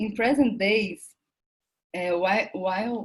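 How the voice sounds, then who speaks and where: A woman talks at a medium pitch, and her voice is somewhat breathy. Her intonation stays fairly even. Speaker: academic researcher presenting at a conference. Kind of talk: conference presentation, partly read from paper. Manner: halting with self-corrections.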